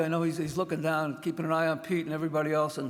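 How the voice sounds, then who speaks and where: A man with a fairly high pitch, amid noticeable background noise. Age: 70s. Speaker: retired fire officer, hall of fame inductee. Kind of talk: acceptance speech. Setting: stage with audience. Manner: halting.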